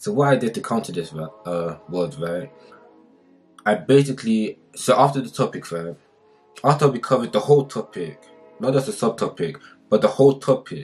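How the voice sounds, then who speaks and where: A man at a moderate pace with long, frequent pauses, faint music in the background. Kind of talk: casual vlog chat. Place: home room. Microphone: camera far.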